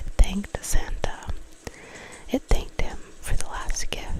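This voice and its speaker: Someone whispers over noticeable background noise. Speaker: ASMR creator. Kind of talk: horror story narration, ASMR reading. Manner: whispered, soft.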